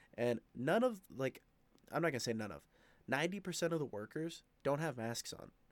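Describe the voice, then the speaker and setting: A man's fairly quick, fairly high-pitched delivery in an ordinary speaking voice. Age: 20s. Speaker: podcast host. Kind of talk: casual monologue. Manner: casual, filler-heavy.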